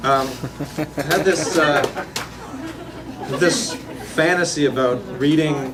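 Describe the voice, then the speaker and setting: With noticeable background noise behind him, a man speaks at a very slow pace, leaving long, frequent pauses, with ordinary pitch variation. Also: fairly high pitch for a man. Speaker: poet. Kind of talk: casual introduction to audience. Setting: live reading venue.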